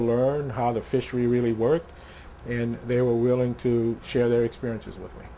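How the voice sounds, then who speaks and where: Over noticeable background noise, a man with a south Louisiana accent speaks at medium pitch in a monotone, flat intonation. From south Louisiana (Thibodaux). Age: 60s. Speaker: oyster biologist. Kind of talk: interview. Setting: seafood business, in person. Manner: halting, many filler words.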